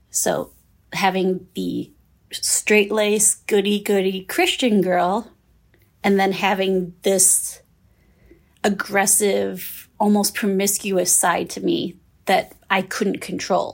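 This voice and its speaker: A woman with an Upper Midwest accent speaks very slowly at medium pitch, with vocal fry. Her intonation is fairly even, and the recording is very clean with a silent background. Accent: Upper Midwest American. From southern Minnesota, US. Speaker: trafficking survivor. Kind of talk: personal testimony interview.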